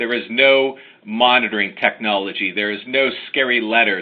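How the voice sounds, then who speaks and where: A man speaks with an American accent at a moderate pace and medium pitch. He has a plain, everyday voice with ordinary pitch variation. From United States. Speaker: lawyer. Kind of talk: webinar presentation. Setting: online webinar.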